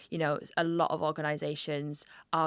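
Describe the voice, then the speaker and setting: With a northeast English accent, a woman speaks at a very deep, low pitch with vocal fry and fairly even intonation, in a very clean recording with a silent background. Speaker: podcast host. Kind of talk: casual interview conversation.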